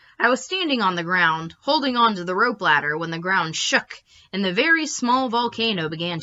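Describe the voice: Plain reading aloud with lively intonation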